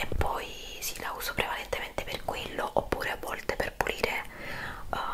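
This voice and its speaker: A woman speaks at a fairly slow pace amid loud background noise. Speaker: home product reviewer. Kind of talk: casual vlog chat. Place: home room.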